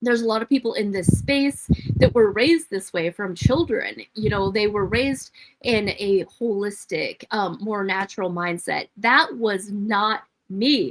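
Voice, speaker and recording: With an American accent, a woman talks at a fairly slow pace in an ordinary speaking voice, medium in pitch with lively intonation. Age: 50s. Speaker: nurse and health coach. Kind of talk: live stream monologue. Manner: casual, rambling.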